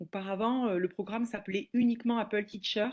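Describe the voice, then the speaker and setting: A woman with a southwestern French accent, fairly high in pitch with ordinary pitch variation, over a quiet background. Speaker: teacher and educational trainer. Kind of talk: webinar presentation. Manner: hesitant, many filler sounds.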